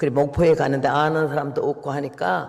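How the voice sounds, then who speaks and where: This man's voice sits fairly high. Vocal fry runs through it. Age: 80s+. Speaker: missionary preacher. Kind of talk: sermon. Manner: storytelling, conversational.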